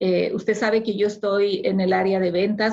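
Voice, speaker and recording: Vocal fry runs through this fairly slow delivery. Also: woman. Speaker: immigrant sharing experience. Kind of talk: interview. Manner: formal.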